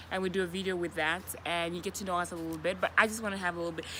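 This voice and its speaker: Medium pitch from a woman. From Namibia. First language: Oshiwambo. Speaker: vlogger. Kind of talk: casual chat. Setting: outdoors.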